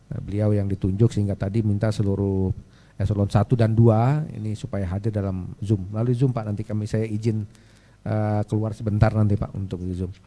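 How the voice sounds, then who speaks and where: A man speaks at a fairly quick pace with a fairly low pitch, a dark, mellow tone and monotone, flat intonation. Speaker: government official; speaker. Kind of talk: presentation. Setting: stage with audience. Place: hall. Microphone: handheld.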